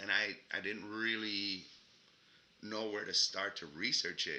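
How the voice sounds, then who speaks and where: A man's fairly low voice carries a bright, sharp tone. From Mexico, Ciudad Juarez, Chihuahua. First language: Spanish. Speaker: actor. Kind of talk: interview. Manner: conversational.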